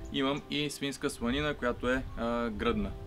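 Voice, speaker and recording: Faint music sits in the background as a man talks. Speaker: home cook host. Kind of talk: cooking tutorial. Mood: friendly, relaxed. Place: garden.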